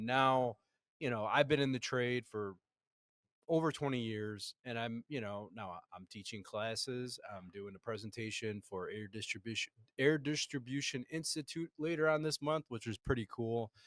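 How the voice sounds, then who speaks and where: A plain, everyday voice moves at a moderate pace with ordinary pitch variation and big swings in loudness, heard in a dry, close sound with no echo. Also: man, medium pitch for a man. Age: 40s. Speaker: podcast host and HVAC trainer. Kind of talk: casual interview chat. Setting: conference podcast recording.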